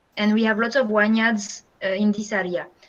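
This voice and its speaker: A woman with a French accent speaks at a moderate pace in a fairly high voice, her intonation fairly even. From France. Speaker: guest speaker, French teacher. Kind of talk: talk to students via video call. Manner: hesitant, many fillers.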